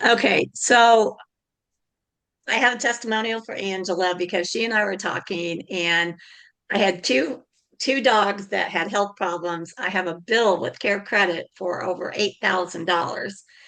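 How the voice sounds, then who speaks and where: A loud, bright, sharp female voice of medium pitch, with ordinary pitch variation and a fairly slow pace, against a quiet background. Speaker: networking group host. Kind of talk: group video meeting.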